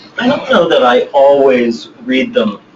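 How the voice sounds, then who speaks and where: A man speaks over noticeable background noise. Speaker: poet and novelist. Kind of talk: interview Q&A. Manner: occasional stammer; hesitant, many fillers.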